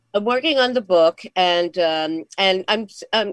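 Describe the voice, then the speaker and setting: Heard dry and close with no echo, a woman uses a normal speaking voice, fairly low in pitch with lively intonation. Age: 60s. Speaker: comedian. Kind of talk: casual chat.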